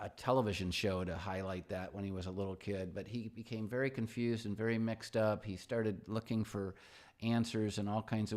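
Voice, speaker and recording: An unremarkable speaking voice from a man, fairly low in pitch, with ordinary pitch variation and a moderate pace, in a very clean recording with a silent background. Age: 60s. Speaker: pastor. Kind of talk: casual livestream talk. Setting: livestream at home with dog.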